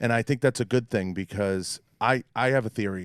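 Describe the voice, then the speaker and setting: Recorded very cleanly with a silent background and a dry, close sound with no echo, a man speaks at a moderate pace with fairly even intonation. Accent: Boston. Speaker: podcast host. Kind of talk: podcast interview.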